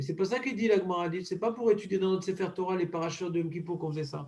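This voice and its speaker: A man's high-pitched voice with fairly even intonation and a dark, mellow tone. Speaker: rabbi teaching Talmud. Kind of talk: Talmud study class. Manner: fast.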